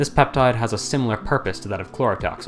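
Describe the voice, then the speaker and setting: There is background music on this clip. Over it, a man speaks very fast. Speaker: science explainer narrator. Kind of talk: educational video narration.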